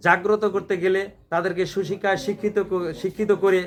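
A man talking in a high pitch keeps a flat, monotone intonation as noticeable background noise carries on. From Bangladesh, Gaibandha (northern Bangladesh). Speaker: community speaker. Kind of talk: speech. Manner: halting.

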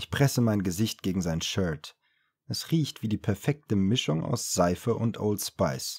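In a quiet background, a man talks at a fairly slow pace in a calm tone with a fairly low pitch. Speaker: audiobook narrator. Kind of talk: audiobook reading. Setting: home studio recording. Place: studio.

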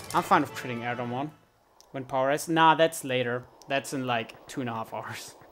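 A medium-pitched man with a German accent at a fairly quick pace, big swings in loudness, and music in the background. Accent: faint German. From Germany. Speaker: video game speedrunner and streamer. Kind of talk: live gameplay commentary. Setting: live stream. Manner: animated, bursts of frustrated shouting.

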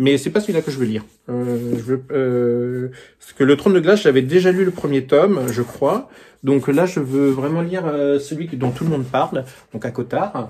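Speaking at a moderate pace, a man with fairly high pitch shows ordinary pitch variation and big swings in loudness. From France. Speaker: book YouTuber. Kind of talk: casual vlog book presentation. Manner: hesitant, many fillers. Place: home room. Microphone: phone near.

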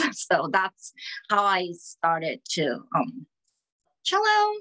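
A woman with a Korean accent speaks at a medium pitch with ordinary pitch variation and a bright, sharp tone against a quiet background. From South Korea. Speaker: orchestral cellist. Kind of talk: interview. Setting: video call. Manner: halting. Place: home room. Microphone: video call.

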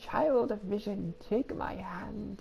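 A put-on character voice is heard over clear background noise.

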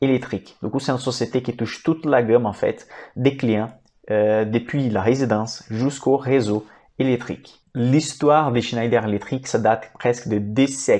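At a moderate pace, a man speaks in a dark, mellow tone with fairly even intonation. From Brazil. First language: Portuguese (speaking French). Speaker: financial analyst and investing YouTuber; investment educator. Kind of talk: educational stock analysis presentation; explanatory lecture on stock analysis. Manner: hesitant with fillers. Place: home room. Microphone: lapel.

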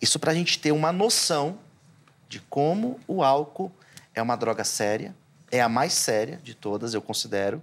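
A man speaking with lively intonation. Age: 40s. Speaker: pastor; pastor guest. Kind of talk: theological debate. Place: studio. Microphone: lapel.

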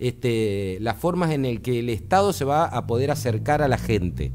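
A man's dark, mellow voice with very wide pitch swings. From Argentina. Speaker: electronics engineer, tech commentator; tech commentator. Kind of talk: explanatory interview on radio. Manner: hesitant, many filler words. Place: studio. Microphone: studio mic.

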